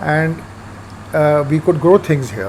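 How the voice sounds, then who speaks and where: A man speaks while noticeable noise fills the background. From India, Punjab. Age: 70s. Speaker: urban farmer. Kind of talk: interview.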